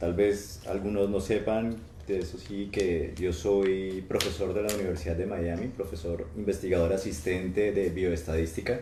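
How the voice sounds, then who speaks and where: A man speaks in a very deep, low pitch with a dark, mellow tone and a somewhat breathy quality. His intonation stays fairly even, and the room echo is audible. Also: fairly slow pace. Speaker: professor and researcher. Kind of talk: testimony in live church stream. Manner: halting.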